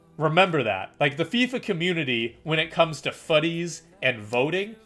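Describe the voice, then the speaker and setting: Music in the background behind a man's fairly high voice at a moderate pace. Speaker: gaming streamer. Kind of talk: live stream commentary. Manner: casual, rambling; stuttering, repeats words.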